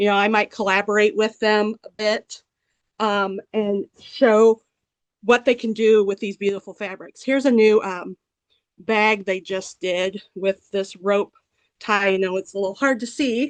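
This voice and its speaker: A woman with a plain, everyday voice, medium pitch and fairly even intonation, at a fairly slow pace in a dry, close sound with no echo. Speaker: fabric designer and artist. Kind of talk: product presentation.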